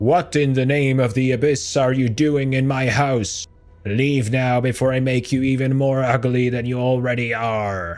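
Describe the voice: A man performs a put-on character voice at medium pitch and a moderate pace, with fairly even intonation, very even loudness and faint music in the background.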